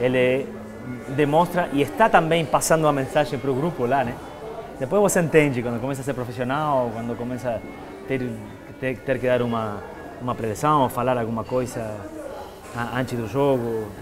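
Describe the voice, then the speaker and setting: A man talks at a moderate pace, leaving long, frequent pauses. His pitch varies in an ordinary way, and music plays clearly in the background. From Argentina. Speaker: retired footballer and TV host. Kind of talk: interview answer. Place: home room.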